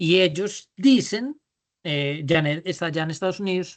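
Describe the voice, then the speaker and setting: The speaker goes fairly slowly, and the background is quiet. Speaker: business leadership trainer. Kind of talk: online workshop lecture. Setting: video call. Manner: drawling.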